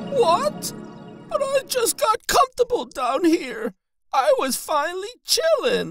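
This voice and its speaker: An extremely high-pitched cartoonish character voice swings very widely in pitch at a fairly slow pace. Faint music plays in the background. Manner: sarcastic, complaining.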